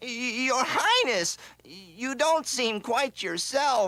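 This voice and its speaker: A cartoonish character voice with a fairly high pitch. It moves at a very slow pace. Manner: stammering, fretful.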